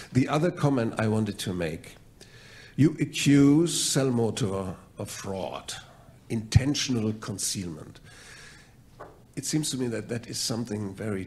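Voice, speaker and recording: A man with a German accent speaks fairly slowly in a somewhat breathy voice with lively intonation and long, frequent pauses, amid audible room echo. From Germany. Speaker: mediator. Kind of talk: mock mediation role-play. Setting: stage with audience.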